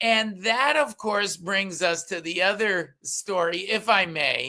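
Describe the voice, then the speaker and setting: A man speaks very slowly in a raised, projected voice, his tone bright and sharp, his pitch high with ordinary variation. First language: Yiddish. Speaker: political commentator and columnist. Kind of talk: political talk show discussion. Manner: halting, many fillers.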